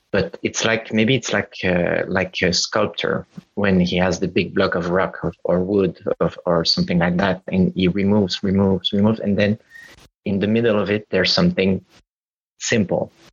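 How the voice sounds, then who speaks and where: A man with a Quebec accent at a fairly low pitch, fairly even intonation, very even loudness and a moderate pace. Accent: Quebecois French accent in English. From Quebec, Montreal. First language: French. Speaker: playwright. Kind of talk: casual chat. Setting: video call. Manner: halting.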